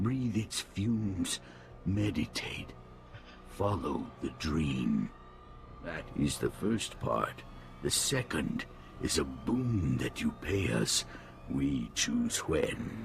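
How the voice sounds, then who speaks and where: Putting on a character voice, a man speaks at a very slow pace in a fairly low pitch with long, frequent pauses, over clear background noise. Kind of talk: video game voice acting. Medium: video game. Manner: terse, flat, formal, speaks as "we".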